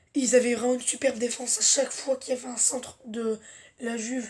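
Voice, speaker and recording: Her pitch high, a woman speaks at a moderate pace with monotone, flat intonation. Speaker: football fan youtuber. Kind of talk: match debrief vlog.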